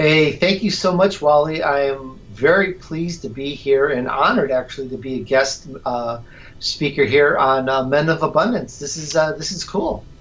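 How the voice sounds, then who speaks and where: With an American accent, a man's fairly high voice moves at a moderate pace with hardly any pauses and ordinary pitch variation. Music plays in the background. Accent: slight Chicago accent at times. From Chicago. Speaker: radio host, sales professional. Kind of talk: podcast interview.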